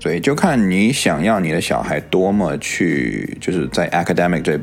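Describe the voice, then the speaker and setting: Music plays in the background as a man with a very deep, low voice speaks amid audible room echo. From Chinese-speaking, moved to US in 3rd grade. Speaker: podcast co-host. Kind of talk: casual chat.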